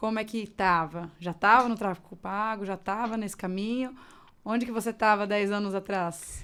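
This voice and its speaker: In a normal speaking voice, a woman of medium pitch talks at a moderate pace with fairly even intonation, the recording very clean with a silent background. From Mato Grosso do Sul, Brazil. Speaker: podcast host. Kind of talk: podcast interview.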